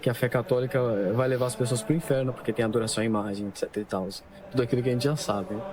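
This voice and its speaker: A medium-pitched man at a very fast pace, with ordinary pitch variation and noticeable background noise. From Brazil, São Paulo. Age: 20s. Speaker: convert giving testimony. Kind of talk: testimony.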